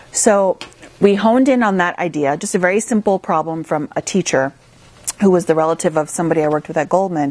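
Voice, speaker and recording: Talking at a very fast pace, a woman uses a fairly low pitch and lively intonation. She speaks with a Midwestern American accent. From US Midwest, small-town Minnesota. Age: 30s. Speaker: investor and entrepreneur. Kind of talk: interview.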